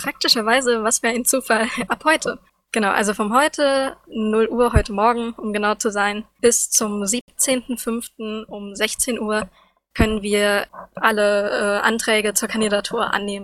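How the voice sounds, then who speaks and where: A woman has a plain, everyday voice, fairly high in pitch with fairly even intonation, at a fairly slow pace. The sound is dry and close, with no echo. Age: 20s. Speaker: student representative. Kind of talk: casual news chat.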